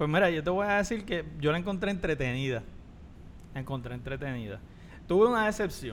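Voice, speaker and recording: Amid audible room echo, a man with a fairly high pitch talks at a fairly quick pace, swinging very widely in pitch and leaving long, frequent pauses. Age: 40s. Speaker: podcast co-host. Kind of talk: casual chat.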